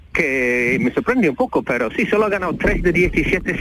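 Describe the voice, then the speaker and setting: Very wide pitch swings mark this moderately paced voice, heard over noticeable background noise. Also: man. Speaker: football journalist. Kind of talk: phone interview.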